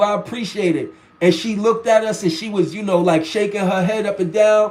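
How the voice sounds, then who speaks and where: This man has a high pitch with ordinary pitch variation. He talks at a moderate pace. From New York. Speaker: livestream host. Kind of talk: casual chat. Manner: casual, repetitive.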